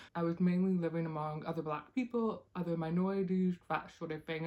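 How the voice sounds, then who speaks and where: A woman's voice has a dark, mellow tone and a fairly low pitch. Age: 30s. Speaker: YouTuber. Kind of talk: reaction video monologue. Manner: hesitant, many fillers.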